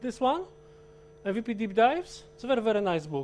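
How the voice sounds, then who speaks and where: Speaking with a Polish accent, a man keeps a moderate pace. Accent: Polish accent, a little Russian-sounding. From Poland. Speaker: IT consultant and trainer, conference speaker. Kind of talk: technical conference talk. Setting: stage with live audience. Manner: halting, with frequent self-corrections.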